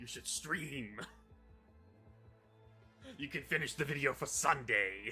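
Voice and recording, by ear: A man's put-on character voice, menacing in tone and fairly high in pitch, at a fairly slow pace with long, frequent pauses over clear music in the background.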